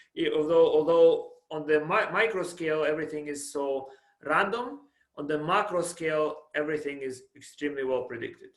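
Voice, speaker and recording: A man with a fairly high pitch talks at a fairly quick pace, his intonation fairly even. Room echo can be heard. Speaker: professor. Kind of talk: lecture. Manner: halting, self-described stuttering.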